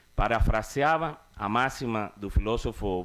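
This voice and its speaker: A man speaks with a Cuban accent at a fairly low pitch. The recording is very clean, with a silent background. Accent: Cuban-tinged Spanish accent in Portuguese. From Cuba (Havana). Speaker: cultural producer. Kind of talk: formal conference speech. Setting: conference stage with audience. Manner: formal.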